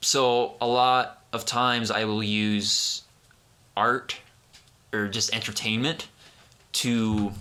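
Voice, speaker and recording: A man mumbles at a very slow pace, with long, frequent pauses. His medium-pitched voice stays monotone and flat. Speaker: podcast host. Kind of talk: casual chat. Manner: mumbling.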